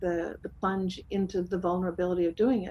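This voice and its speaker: Somewhat breathy, a woman talks at a medium pitch with a dark, mellow tone. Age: 60s. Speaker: talk show guest. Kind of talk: casual chat. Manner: halting.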